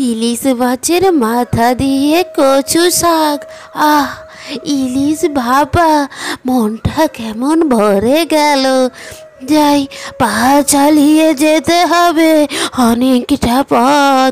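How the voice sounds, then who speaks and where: In a cartoonish character voice, a woman speaks very slowly at a high pitch, her loudness very even, with clear music in the background. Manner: humble, soft-spoken.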